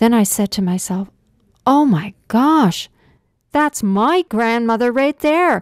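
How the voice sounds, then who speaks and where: Over a silent background in a very clean, dry, close recording with no echo, a woman speaks in a plain, everyday voice at a fairly slow pace with lively intonation. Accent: Canadian. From southern Ontario, Canada. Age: 60s. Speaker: Métis storyteller. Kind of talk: personal story narration.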